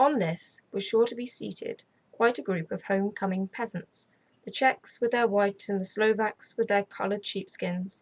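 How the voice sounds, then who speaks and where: A woman with an English accent speaks in a fairly high pitch. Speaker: ASMR storyteller, channel host. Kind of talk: gothic audiobook reading, ASMR.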